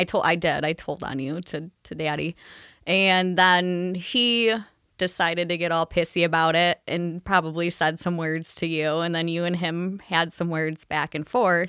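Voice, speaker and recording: The recording is very clean, with a silent background. A woman speaks in a bright, sharp tone at a fairly low pitch with fairly even intonation. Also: moderate pace. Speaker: guest. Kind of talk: casual chat.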